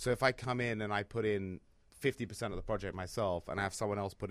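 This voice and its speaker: A man with a London accent talks at a very fast pace, his pitch fairly low and varying in an ordinary way. The sound is dry and close with no echo, on a very clean recording over a silent background. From London, England. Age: 30s. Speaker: real estate investor, former trader. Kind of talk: casual chat.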